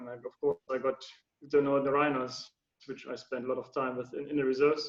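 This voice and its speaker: With a German accent, a man talks at a very fast pace and a medium pitch. His intonation is monotone and flat, with big swings in loudness. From Germany. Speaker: anti-poaching ranger. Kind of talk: interview. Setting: video call. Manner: halting, many fillers.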